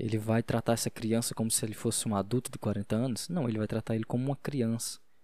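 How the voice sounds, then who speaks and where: Heard on a very clean recording with a silent background, a man speaks at a fairly quick pace with a medium pitch and a dark, mellow tone. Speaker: podcaster. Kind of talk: casual solo monologue on faith. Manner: fast; halting.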